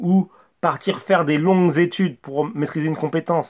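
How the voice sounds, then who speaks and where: Mumbling at a moderate pace, a man with a high pitch is heard in a very clean recording with a silent background. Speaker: communication coach YouTuber. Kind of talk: motivational monologue to camera. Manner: mumbles words, imprecise articulation; stumbles and stammers.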